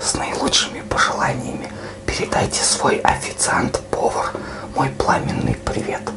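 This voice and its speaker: A man talks at a fairly slow pace. Loud background noise runs underneath. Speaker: vlogger. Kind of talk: casual comedic vlog chat.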